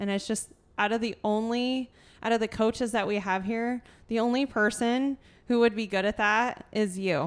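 On a very clean recording with a silent background, a woman speaks at a fairly high pitch and a moderate pace with fairly even intonation. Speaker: podcast host and gym coach. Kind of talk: casual chat. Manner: loud, talkative.

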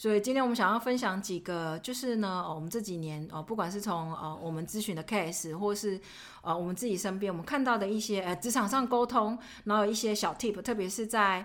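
A woman with a normal speaking voice talks at a fairly quick pace. Her pitch is medium and varies in an ordinary way. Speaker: podcast co-host, finance professional. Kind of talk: casual chat.

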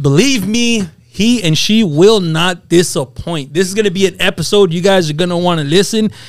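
A man with a high pitch talks at a moderate pace with hardly any pauses. His tone is animated, with ordinary pitch variation. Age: 30s. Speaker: podcast host. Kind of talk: casual chat. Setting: studio.

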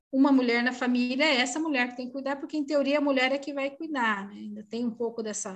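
Her intonation is fairly even. The woman speaking has a high pitch. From Brazil, São Paulo state (Osasco). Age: 40s. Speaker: psychologist and coach. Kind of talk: podcast interview.

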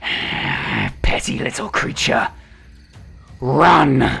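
A man puts on a raspy, growling character voice at a fairly high pitch, with faint music in the background. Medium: actual play. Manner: menacing, contemptuous.

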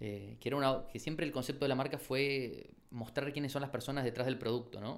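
A man talks at a fairly quick pace with a medium pitch and vocal fry. His intonation stays fairly even. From Argentina, Chaco province. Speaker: shoe brand founder and architect. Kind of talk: interview.

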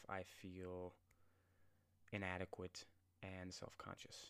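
The man's pitch is very deep and low. He talks at a very slow pace. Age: 20s. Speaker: podcast host. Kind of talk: solo podcast monologue. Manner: casual, filler-heavy.

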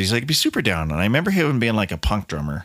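A man talking at a very fast pace, with very wide swings in pitch. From Colorado, US. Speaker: musician and podcast host. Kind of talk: casual solo monologue.

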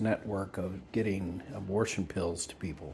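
A man with a Texan accent, a very deep, low pitch and a somewhat breathy sound at a moderate pace. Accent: Texan American. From Texas. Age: 70s. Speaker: vlogger. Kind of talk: casual monologue. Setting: outdoors.

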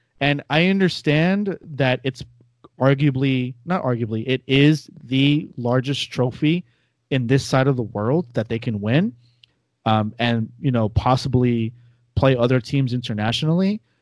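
In a very clean recording with a silent background, a man with a normal speaking voice talks at a fairly slow pace, medium pitch and ordinary pitch variation. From US, New York area. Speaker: soccer podcast host. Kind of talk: casual chat.

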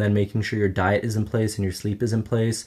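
A man with a Canadian accent has a fairly low pitch and a dark, mellow tone. The recording is very clean, with a silent background. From Canada, Ottawa. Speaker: footballer and online influencer. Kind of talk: casual chat.

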